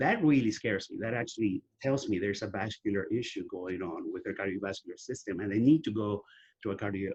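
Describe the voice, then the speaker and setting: A man's somewhat breathy voice at a medium pitch. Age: 60s. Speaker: testosterone therapy advocate. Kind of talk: interview.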